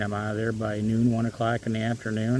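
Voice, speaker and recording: A man with an American accent speaks at a medium pitch. His pace is fairly quick. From US Midwest, Michigan. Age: 60s. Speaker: retiree vlogger. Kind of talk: casual vlog monologue. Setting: outdoors in a park. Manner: hesitant, many fillers.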